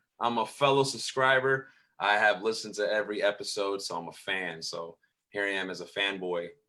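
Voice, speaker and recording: Animated and bright, sharp in tone, a man speaks at a fairly quick pace. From Tampa, Florida, Puerto Rican family. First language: Spanish. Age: 30s. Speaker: pastor. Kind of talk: casual interview chat. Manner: casual, animated.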